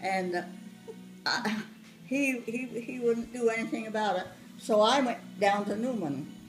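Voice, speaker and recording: A woman at a fairly slow pace, with long, frequent pauses and music in the background. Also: ordinary pitch variation. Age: 80s+. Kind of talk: family storytelling, reminiscing.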